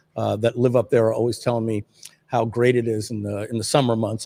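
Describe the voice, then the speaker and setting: Speaking at a very fast clip with an American accent, the voice keeps its intonation fairly even. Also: man, dry, close sound with no echo. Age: 50s. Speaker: livestream host, marketer. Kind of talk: casual livestream chat. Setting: video livestream.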